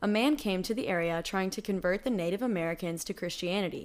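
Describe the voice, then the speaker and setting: A woman with a plain, everyday voice speaks at a fairly quick pace and medium pitch, with ordinary pitch variation, on a very clean recording with a silent background. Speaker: podcast storyteller. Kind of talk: spooky legend narration, true-crime horror style storytelling.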